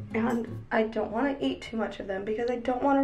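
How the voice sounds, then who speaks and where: A woman talks fairly quickly over clear music in the background. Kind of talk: casual vlog chat.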